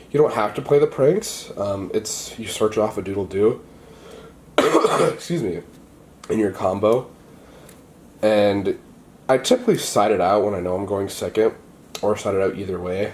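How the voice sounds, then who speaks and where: Pausing long and often, a man with a fairly low pitch and an upbeat tone speaks at a moderate pace with ordinary pitch variation over noticeable background noise. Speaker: card game player. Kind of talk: casual talk to camera, deck profile. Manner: casual, upbeat.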